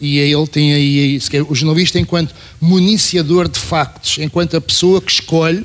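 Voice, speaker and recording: An unremarkable speaking voice from a man, fairly high in pitch with fairly even intonation. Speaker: former journalist and programmer. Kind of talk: panel talk. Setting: university auditorium panel.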